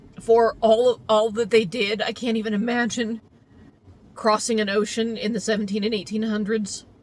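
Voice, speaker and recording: At a moderate pace, a woman speaks in a fairly high, monotone voice with flat intonation. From US suburbs. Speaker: teacher. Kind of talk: casual monologue.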